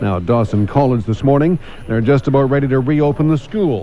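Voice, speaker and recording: A man with lively intonation talks at a fairly quick pace while noticeable background noise plays behind him. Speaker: radio newsreader. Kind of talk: radio morning newscast.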